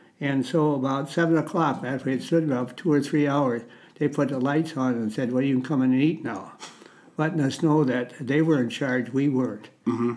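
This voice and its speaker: Speaking in an Upper Midwest accent, a man moves at a fairly quick pace with fairly high pitch and fairly even intonation. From Minnesota. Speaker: war veteran. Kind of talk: testimony. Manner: halting.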